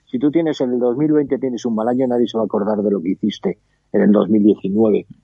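With ordinary pitch variation, a man in a normal speaking voice talks fairly quickly. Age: 50s. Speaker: baseball podcast co-host. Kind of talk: casual chat.

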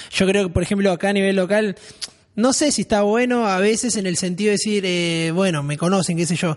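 Talking at a very fast pace, a man with a high pitch and ordinary pitch variation sounds animated. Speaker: radio podcast host. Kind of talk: casual chat. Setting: studio.

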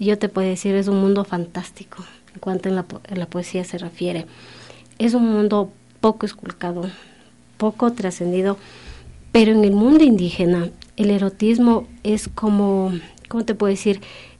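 Her tone dark and mellow, a woman speaks with long, frequent pauses. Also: medium pitch for a woman, fairly even intonation, moderate pace. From Ecuadorian Andes, Kichwa community. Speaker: poet. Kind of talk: radio interview.

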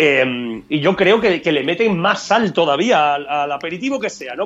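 A man speaks at a moderate pace in a high voice with lively intonation. Noticeable background noise sits behind him. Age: 30s. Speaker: podcast co-host. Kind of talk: casual chat.

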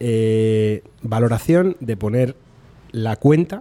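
A man's dark, mellow tone at a medium pitch, with lively intonation. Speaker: podcast host. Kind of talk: casual chat. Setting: restaurant.

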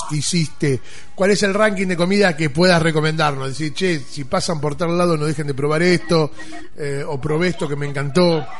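A man's fairly high voice, with fairly even intonation, comes through audible room echo and noticeable background noise. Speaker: radio host. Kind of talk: radio show. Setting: radio studio.

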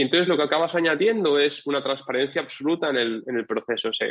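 Using a normal speaking voice, a man talks at a fairly quick pace in a fairly high pitch. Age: 20s. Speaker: SEO agency founder. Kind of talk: interview.

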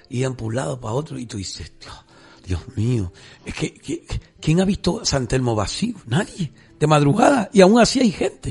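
With noticeable background noise behind him, a man talks at a moderate pace. His fairly high voice swings very widely in pitch. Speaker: radio host. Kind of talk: radio talk show. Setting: studio.

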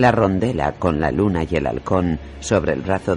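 In a very deep, low pitch, a man speaks at a fairly slow pace with lively intonation. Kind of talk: audiobook narration, reading a fantasy novel aloud. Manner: narrative reading, shifting tone for each character's dialogue.

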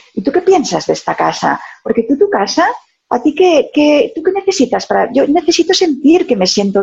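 At a moderate pace, a woman talks with very wide pitch swings and vocal fry. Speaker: sales consultant and author. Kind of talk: interview.

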